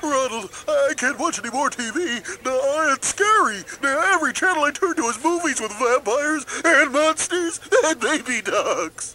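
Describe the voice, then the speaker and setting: A man puts on a cartoonish character voice. His pitch is extremely high. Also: moderate pace. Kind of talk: kids' animated comedy. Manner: fearful, slow, easily confused.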